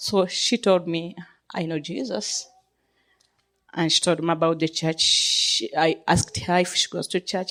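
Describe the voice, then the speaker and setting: This woman has a non-native accent. She speaks at a fairly slow pace. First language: not English. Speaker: minister, church member giving thanks. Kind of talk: testimony. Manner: halting.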